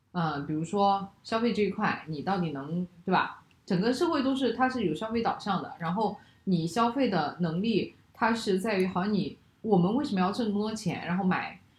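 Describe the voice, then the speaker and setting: With lively intonation and a medium pitch, the woman talks at a moderate pace while noticeable background noise runs underneath. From China. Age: 30s. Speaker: podcast host. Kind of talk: casual chat.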